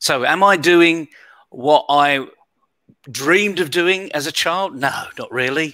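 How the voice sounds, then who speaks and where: A man speaks in a British accent at a fairly slow pace. His tone is bright and sharp, and the recording is very clean with a silent background. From United Kingdom. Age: 60s. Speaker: leadership coach and keynote speaker. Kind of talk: interview.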